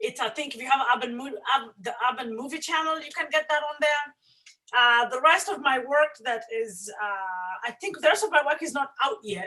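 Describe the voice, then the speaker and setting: Raising and projecting her voice, a woman with an African accent speaks at a moderate pace in a high pitch, with a bright, sharp tone, lively intonation and big swings in loudness. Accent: African accent, kept. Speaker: filmmaker. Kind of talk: panel discussion.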